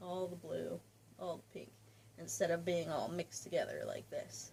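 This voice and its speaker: A woman mumbling quietly in a dark, mellow tone. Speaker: crafting podcaster. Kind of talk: casual chat.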